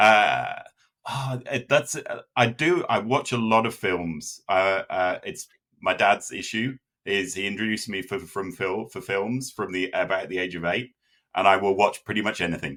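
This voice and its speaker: With a British accent and a bright, sharp tone, a man speaks at fairly low pitch on a very clean recording with a silent background. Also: ordinary pitch variation, moderate pace. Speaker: data consultant. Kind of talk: interview. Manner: halting, many fillers.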